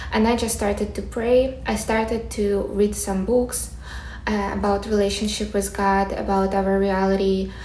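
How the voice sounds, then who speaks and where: Amid noticeable background noise and audible room echo, a woman with a Ukrainian accent speaks at a moderate pace and medium pitch in a monotone, flat intonation. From Ukraine. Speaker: manifestation coach, content creator. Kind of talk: personal story and advice monologue to camera.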